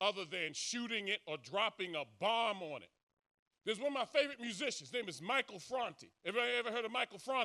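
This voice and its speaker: Raising and projecting his voice, a man speaks with a bright, sharp tone and lively intonation. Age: 60s. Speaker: social commentator. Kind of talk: speech to audience. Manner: animated.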